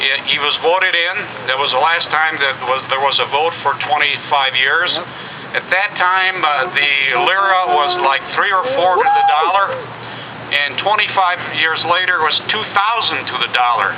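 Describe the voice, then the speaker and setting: A man's high-pitched voice at a moderate pace and very even loudness, with audible room echo and noticeable background noise. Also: ordinary pitch variation. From Italy (near Trieste), moved to the US at age 10. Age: 60s. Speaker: retired engineer speaking at a political rally. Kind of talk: rally speech. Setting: outdoor rally with crowd.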